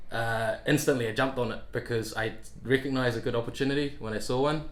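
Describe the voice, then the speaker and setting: A man talks at a fairly quick pace. His pitch is medium, and the room echo is audible. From Thailand, then Gisborne, New Zealand from age 13. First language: Thai. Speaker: software developer. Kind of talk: interview. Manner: hesitant, many fillers.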